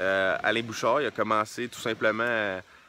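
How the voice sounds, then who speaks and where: A man with a bright, sharp tone at a fairly slow pace, dry sound with no echo. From Quebec. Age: 20s. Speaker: entrepreneur and book reviewer; book reviewer. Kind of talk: casual book review monologue. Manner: hesitant with many repeated words and fillers. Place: open country. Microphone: phone near.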